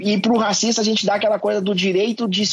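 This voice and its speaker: With music playing in the background, a man speaks in a high pitch. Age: 40s. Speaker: anti-racism activist. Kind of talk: interview.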